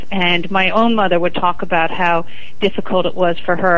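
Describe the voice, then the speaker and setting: A woman speaks at a fairly quick pace, her pitch fairly low. Noticeable background noise and audible room echo fill the recording. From New York City (Manhattan). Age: 50s. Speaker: TV news reporter. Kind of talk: interview. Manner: talkative.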